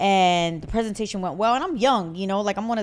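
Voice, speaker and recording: Her medium pitch showing ordinary variation, a woman is speaking. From US Northeast, Puerto Rican family. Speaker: podcast co-host. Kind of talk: casual chat. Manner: loud.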